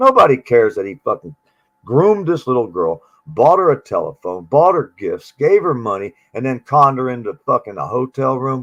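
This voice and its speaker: A man with an animated tone at a moderate pace, the sound dry and close with no echo. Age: 60s. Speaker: livestreamer and air conditioning worker. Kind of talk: casual livestream chat.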